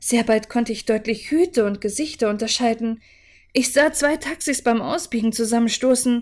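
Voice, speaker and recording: A woman's high-pitched voice shows ordinary pitch variation and holds a moderate pace. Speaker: audiobook narrator / livestreamer. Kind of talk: dramatic narration, reading aloud a horror story. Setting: live stream. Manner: calm, soothing, measured pace. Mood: calm, relaxing narration. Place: home room.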